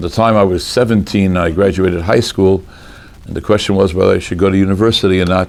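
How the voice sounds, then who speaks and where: In an American accent, a man with a very deep, low pitch talks at a very fast pace with ordinary pitch variation. There is noticeable background noise. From US Northeast (Boston). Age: 60s. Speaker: rabbi, Talmudic law scholar. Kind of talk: lecture. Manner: animated.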